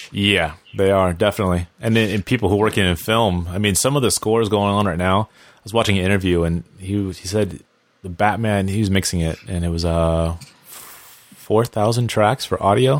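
A man's normal speaking voice, fairly low in pitch, at a fairly quick pace with fairly even intonation. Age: 30s. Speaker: television composer. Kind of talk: casual chat.

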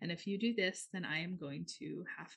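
Somewhat breathy, a woman's voice holds a medium pitch. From US Midwest, northern Minnesota. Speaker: astrologer and healing practitioner. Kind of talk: casual chat.

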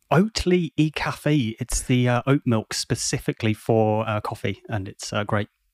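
With a British accent, a man speaks at a fairly slow pace with hardly any pauses, medium pitch and ordinary pitch variation, the sound dry and close with no echo. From UK. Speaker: service designer and podcaster. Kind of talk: casual interview chat.

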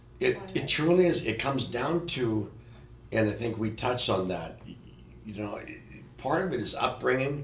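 Amid noticeable background noise, a man of medium pitch speaks at a moderate pace with long, frequent pauses. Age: 60s. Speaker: stunt coordinator and producer. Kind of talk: casual chat.

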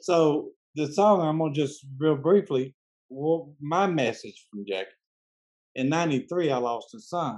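The speaker has a Southern US accent and lively intonation. The pace is fairly slow. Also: man, fairly high pitch for a man. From US South, Memphis, Tennessee. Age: 60s. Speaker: podcast host interviewing musicians. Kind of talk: casual interview. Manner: halting, many fillers and restarts.

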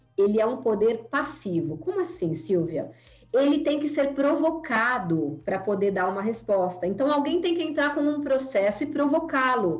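Speaking at a moderate pace, a woman uses a high pitch with very wide swings. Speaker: data privacy lawyer and association founder. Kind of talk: podcast interview. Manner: animated.

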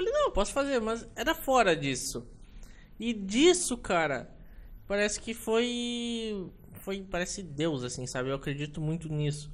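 Speaking at a fairly slow pace, a man with a high voice sends his pitch through very wide swings. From Rio Grande do Sul, Brazil. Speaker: ship photographer and port operations worker. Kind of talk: casual interview chat. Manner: halting.

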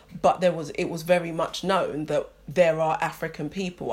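In a London accent, a woman with a fairly low, somewhat breathy voice speaks in a flat monotone at a moderate pace on a very clean recording with a silent background. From London, England. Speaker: podcast co-host, teacher. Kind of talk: casual chat.

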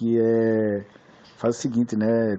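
A man's voice at medium pitch. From Recife, Pernambuco, Brazil. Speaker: listener asking a question. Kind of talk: recorded voice question. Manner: halting, with many fillers.

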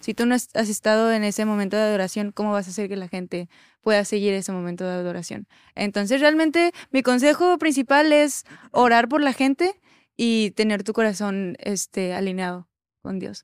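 A woman's ordinary speaking voice, fairly high in pitch, with lively intonation at a moderate pace, in a dry, close, echo-free and very clean recording with a silent background. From Mexico City. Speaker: worship singer. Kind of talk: casual chat.

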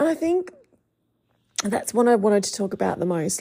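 With an Australian accent, a woman speaks at a medium pitch in a dark, mellow tone. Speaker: podcast host and life coach. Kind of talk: casual monologue podcast; scripted podcast intro. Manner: quieter than usual.

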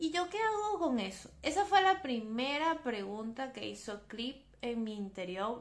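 Speaking at a fairly slow pace, a woman has an ordinary speaking voice and fairly high pitch. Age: 20s. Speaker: psychologist and podcast host. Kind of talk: solo podcast monologue on psychology.

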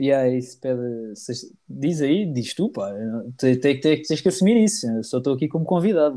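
A man's fairly high voice in a dark, mellow tone at a fairly slow pace. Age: 20s. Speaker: comedian. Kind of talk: casual chat.

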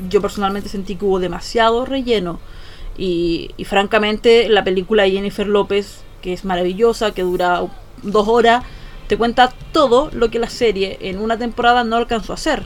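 In a Chilean accent, a woman speaks at medium pitch and a moderate pace, her pitch varying in an ordinary way. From Chile, Valparaíso region. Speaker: podcast host, editor. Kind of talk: casual chat.

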